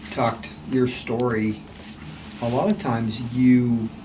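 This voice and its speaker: The speaker goes at a fairly slow pace over noticeable background noise. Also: man. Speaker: podcast host. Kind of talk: interview question.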